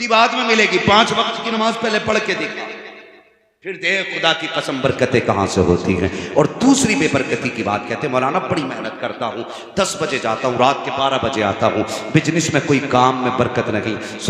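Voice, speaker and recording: A man speaks in a passionate tone with very wide pitch swings. Noticeable background noise runs underneath. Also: fairly high pitch for a man, moderate pace. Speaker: Islamic preacher. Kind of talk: religious sermon (taqreer) delivered to a live audience. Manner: passionate, emphatic, preaching.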